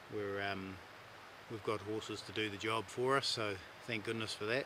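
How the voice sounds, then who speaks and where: A man with a New Zealand accent, fairly low-pitched, at a moderate pace and in a monotone, flat intonation. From New Zealand, South Island. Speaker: hunting guide. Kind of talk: casual chat. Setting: outdoors.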